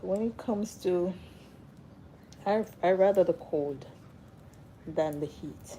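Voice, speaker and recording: A soft-spoken woman's medium-pitched voice, dark and mellow in tone, at a very slow pace with long, frequent pauses. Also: ordinary pitch variation. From Jamaica. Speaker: hair and lifestyle livestreamer. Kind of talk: casual livestream chat. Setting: live stream.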